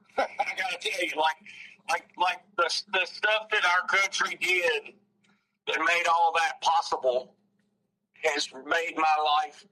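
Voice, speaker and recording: A man with a Southern US accent speaks in a high voice at a very slow pace, his intonation fairly even and his pauses long and frequent. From US South, North Alabama. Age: 60s. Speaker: outdoor writer and journalist. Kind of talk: casual interview chat. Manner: halting, many restarts.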